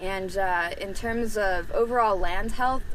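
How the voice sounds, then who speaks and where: Audible room echo surrounds a woman who speaks at a fairly slow pace with ordinary pitch variation. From New Mexico. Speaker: rancher. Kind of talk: interview testimony.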